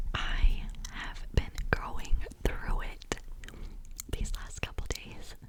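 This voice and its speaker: A woman whispers at a very slow pace, with long, frequent pauses. Her loudness swings widely amid noticeable background noise. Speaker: ASMR content creator. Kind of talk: casual talk to camera. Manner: whispered, soft.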